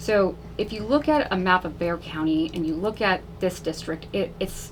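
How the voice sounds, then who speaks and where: Over noticeable background noise, a woman with an American accent speaks at a medium pitch with lively intonation. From Texas, south side of San Antonio. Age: 30s. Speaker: political candidate. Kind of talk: radio interview. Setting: radio studio. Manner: casual, frequent fillers.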